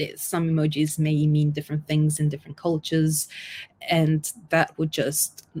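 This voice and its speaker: A woman with a non-native accent speaks at a very deep, low pitch. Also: very clean recording, silent background. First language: not English. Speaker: UX designer. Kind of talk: conference talk. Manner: hesitant, with fillers and self-corrections.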